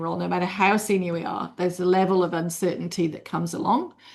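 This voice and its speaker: A woman's very fast speech in a British accent, medium pitch, with vocal fry. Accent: UK. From UK. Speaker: leadership consultant. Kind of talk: webinar presentation.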